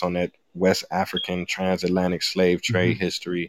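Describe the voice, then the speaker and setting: Very deep and low in pitch, a man talks at a fairly quick pace in a dry, close sound with no echo. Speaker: hip-hop artist and historian. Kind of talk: casual interview chat. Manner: relaxed, lights up when talking.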